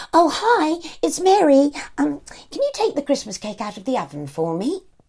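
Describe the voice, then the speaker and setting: A man performs a put-on character voice with an extremely high pitch. He talks at a moderate pace. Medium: read story. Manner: bright, brisk, homely.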